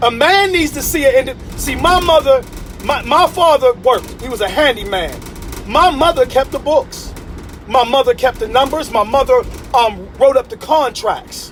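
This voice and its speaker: This man's voice is extremely high, with lively intonation and an animated tone at a moderate pace. Noticeable background noise can be heard. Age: 50s. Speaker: motivational speaker. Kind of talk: motivational talk. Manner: repetitive stammering.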